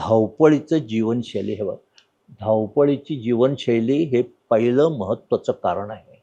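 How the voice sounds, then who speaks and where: A man's dark, mellow voice sits at a medium pitch with ordinary pitch variation. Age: 90s. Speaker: orthopaedic surgeon. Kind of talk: interview.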